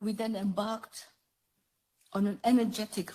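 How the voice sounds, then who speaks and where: Here a woman talks at a moderate pace and medium pitch, somewhat breathy. Her tone is dark and mellow, her intonation fairly even. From Somaliland. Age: 80s+. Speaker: politician. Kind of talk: speech. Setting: parliament chamber. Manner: formal.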